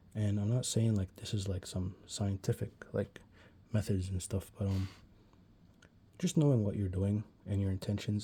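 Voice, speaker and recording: In a very clean recording with a silent background, a man with a fairly low pitch and a dark, mellow tone speaks somewhat breathily, his intonation fairly even. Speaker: art tutorial youtuber. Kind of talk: tutorial. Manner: fast; casual, many fillers.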